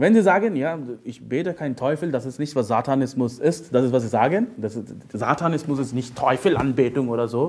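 A man with a fairly high voice talks at moderate speed, his intonation lively. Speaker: preacher. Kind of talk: sermon. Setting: church. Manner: emphatic preaching, repeated "Ja?" tags, teaching tone; direct, urgent, addresses listeners as "du".

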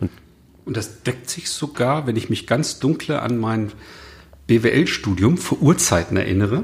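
Using lively intonation, a man with a medium pitch talks at a fairly slow pace with long, frequent pauses. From northern Germany. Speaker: podcast host, consultant. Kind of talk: casual interview conversation. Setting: in person in Cologne.

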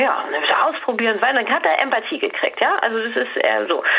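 A woman keeps a moderate pace. There is noticeable background noise in the clip. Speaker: communication coach. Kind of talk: advice conversation. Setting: at home, remote call.

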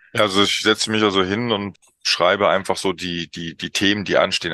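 The recording is dry and close with no echo, over a quiet background. A man speaks at a fairly low pitch in a bright, sharp tone with monotone, flat intonation. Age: middle-aged. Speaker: youth football coach. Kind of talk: interview. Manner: halting, many fillers.

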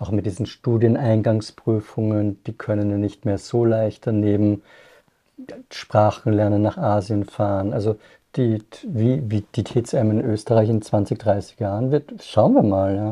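Against a quiet background, a man speaks at a fairly slow pace and fairly low pitch, with a dark, mellow tone and fairly even intonation. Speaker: podcast host. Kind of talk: casual chat; scripted narration.

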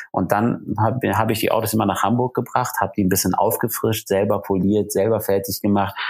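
Against noticeable background noise, a man with a fairly low pitch talks at a fairly quick pace with hardly any pauses, fairly even intonation and very even loudness. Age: 40s. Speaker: luxury car dealer and TV motoring presenter. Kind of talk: podcast interview.

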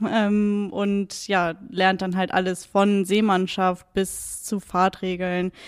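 A very slow, monotone, flat delivery with hardly any pauses, on a very clean recording with a silent background. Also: woman, medium pitch for a woman. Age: 30s. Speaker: water police officer. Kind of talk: interview. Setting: police station. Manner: hesitant with fillers.

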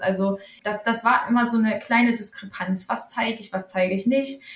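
Fairly high female voice, fairly even in intonation and moderate in pace, against noticeable background noise. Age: 30s. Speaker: pharmacist and author. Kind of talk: podcast interview.

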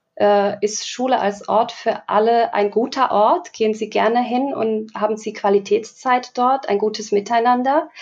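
With hardly any pauses, a woman with an unremarkable speaking voice talks at a fairly slow pace and fairly high pitch, her pitch varying in an ordinary way. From Slovakia. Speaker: diversity educator. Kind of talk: podcast interview.

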